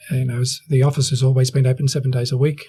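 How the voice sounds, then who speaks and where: A somewhat breathy man's voice of medium pitch with an Australian accent. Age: 60s. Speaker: real estate agency owner. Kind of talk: interview.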